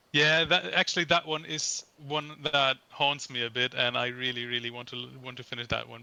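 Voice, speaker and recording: Noticeable background noise sits under this man's voice. His loudness rises and falls sharply. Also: medium pitch for a man, ordinary pitch variation, moderate pace. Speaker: podcast co-host, composer. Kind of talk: casual chat. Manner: halting. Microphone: poor sound quality.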